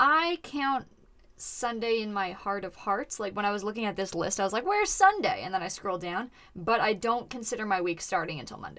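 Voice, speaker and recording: A woman's bright, sharp tone at a fairly quick pace. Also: fairly high pitch for a woman, lively intonation. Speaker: podcast host. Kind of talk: casual comedic chat. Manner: joking, interrupting, playful.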